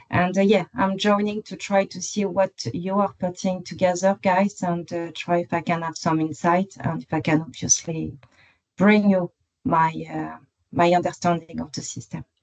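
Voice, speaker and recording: A woman with a strong French accent speaks at a moderate pace in a fairly low pitch. Her pitch varies in an ordinary way, and the sound is dry and close with no echo. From France, Paris. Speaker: construction professional. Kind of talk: online work meeting discussion. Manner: halting, many fillers.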